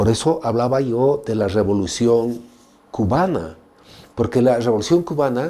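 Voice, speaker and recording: Medium in pitch with a dark, mellow tone, a man uses lively intonation at a fairly slow pace. Room echo is audible. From Bolivia, Tarija. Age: 60s. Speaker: novelist. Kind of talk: interview.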